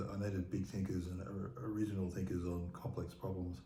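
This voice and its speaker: Speaking very fast with an Australian accent, a man uses a very deep, low pitch with ordinary variation amid audible room echo. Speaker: former emergency management official. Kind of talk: interview conversation. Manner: repetitive halting delivery.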